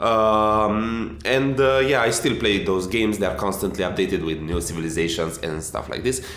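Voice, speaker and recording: Over noticeable background noise, a man with an Eastern European accent speaks at a moderate pace in a fairly low voice, with lively intonation and hardly any pauses. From Romania. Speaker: game director. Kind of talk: informal conversation.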